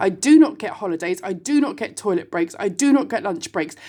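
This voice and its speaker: The speaker is a woman with a British accent. Her pitch swings very widely. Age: 40s. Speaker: online video host, single mother. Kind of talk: casual monologue. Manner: animated.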